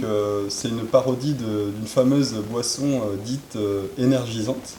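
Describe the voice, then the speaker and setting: Over noticeable background noise, a man with a medium pitch talks at a fairly slow pace in fairly even intonation. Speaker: interviewer, cycle traveller. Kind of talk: casual interview questions.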